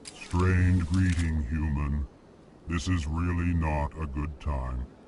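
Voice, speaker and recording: Using a put-on character voice, a man speaks at a very deep, low pitch and a fairly slow pace. Clear background noise is present. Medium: video game. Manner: flat, prefixes lines with emotion.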